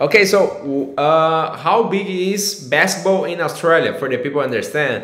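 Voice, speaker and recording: A man with a Portuguese accent speaks with audible room echo. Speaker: podcast host, agency CEO. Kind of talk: casual interview. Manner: halting.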